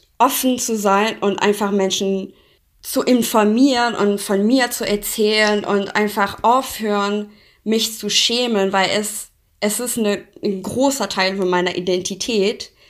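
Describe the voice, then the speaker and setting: Recorded very cleanly against a silent background, a woman speaks very slowly with a fairly high pitch and fairly even intonation. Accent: Persian. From Iran. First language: Persian (speaking German). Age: 20s. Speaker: interview guest. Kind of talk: interview.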